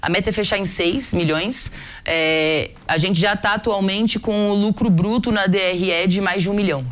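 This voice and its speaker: A woman speaks in an ordinary speaking voice at a medium pitch and moderate pace. Her loudness stays very even, and her pitch varies in an ordinary way. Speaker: startup founder. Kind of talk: business interview.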